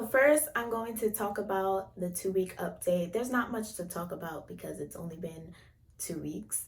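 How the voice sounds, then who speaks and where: A normal speaking voice, pitch rising and falling in an ordinary way. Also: woman. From United States. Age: young. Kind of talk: casual hair routine talk to camera.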